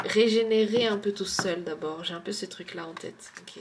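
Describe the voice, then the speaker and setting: Against noticeable background noise, a woman at medium pitch talks at a very slow pace. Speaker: tarot card reader. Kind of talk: tarot card reading. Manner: hesitant.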